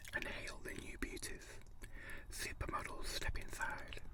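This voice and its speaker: A man whispers at a moderate pace. Noticeable background noise runs underneath. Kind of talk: ASMR magazine reading; casual talk to camera. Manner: whispered, soft-spoken.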